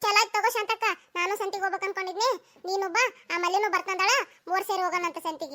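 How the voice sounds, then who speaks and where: In a cartoonish character voice, a woman talks at an extremely high pitch and a fairly quick pace, keeping her intonation fairly even. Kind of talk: cartoon comedy acting.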